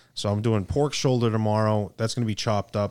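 Here a man with a fairly low pitch has an ordinary speaking voice and fairly even intonation. He moves at a fairly quick pace on a very clean recording with a silent background. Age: 30s. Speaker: cigar company sales executive. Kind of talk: casual chat. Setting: studio.

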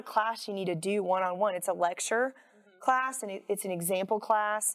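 A woman with an American accent speaks in a normal speaking voice at a moderate pace and medium pitch, her intonation fairly even. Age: 40s. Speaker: firearms instructor. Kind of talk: casual interview.

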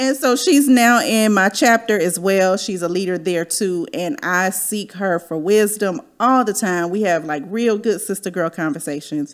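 Using a normal speaking voice with an American accent, the speaker talks fairly slowly with lively intonation and hardly any pauses. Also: woman, medium pitch for a woman. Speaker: podcast host. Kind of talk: casual chat, podcast interview. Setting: video livestream.

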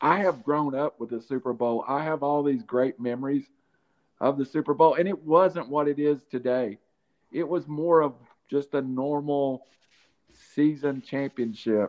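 This man has a plain, everyday voice, pitched fairly high and moving at a moderate pace. His pitch varies in an ordinary way. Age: 50s. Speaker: sports podcast host. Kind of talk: casual chat.

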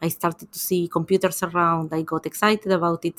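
Dry and close with no echo, the recording captures a woman with an Argentine accent. Her pitch is fairly low and her intonation monotone and flat. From Argentina. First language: Spanish. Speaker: tech ecosystem investor. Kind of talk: interview. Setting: remote call.

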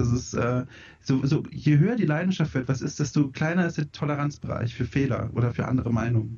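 Somewhat breathy speech moves at a fairly quick pace with ordinary pitch variation. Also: man, fairly high pitch for a man. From Franconia, southern Germany. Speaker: video game editor. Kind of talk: casual chat. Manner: fast.

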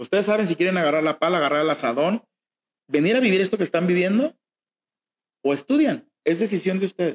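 A high-pitched man at a very fast pace, with long, frequent pauses and very even loudness. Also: lively intonation, dry, close sound with no echo. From Mexico, Jalisco (rural town near Guadalajara). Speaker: fashion designer. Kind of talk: interview.

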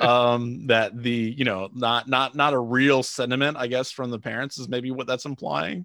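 A man's medium-pitched voice at a moderate pace, with ordinary pitch variation and hardly any pauses. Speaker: sports podcast co-host. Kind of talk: casual chat. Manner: animated, laughs often.

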